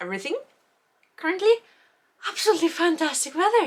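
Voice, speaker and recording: A woman with an Icelandic accent speaks with lively intonation. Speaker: knitting podcaster. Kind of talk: casual vlog chat. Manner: rambling with fillers, halting.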